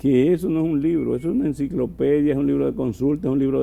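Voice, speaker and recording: A man talks at a very fast pace. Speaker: doctor, former health minister. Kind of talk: TV interview.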